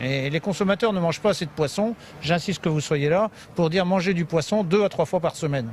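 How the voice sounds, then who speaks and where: A high-pitched man's voice at a fairly quick pace, with ordinary pitch variation, very even loudness and noticeable background noise. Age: 60s. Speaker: fish logistics business manager. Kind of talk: on-site interview.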